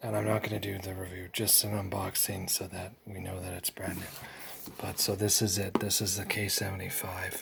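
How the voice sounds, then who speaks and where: A man speaks quietly. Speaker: flashlight reviewer. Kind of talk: unboxing. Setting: at home at night. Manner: quiet, kept low.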